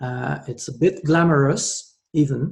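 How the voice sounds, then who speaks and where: A man with a French accent speaks fairly slowly in a fairly high, somewhat breathy voice, dark and mellow in tone with fairly even intonation. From France. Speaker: network marketer. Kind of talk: sales pitch. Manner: hesitant, many filler sounds.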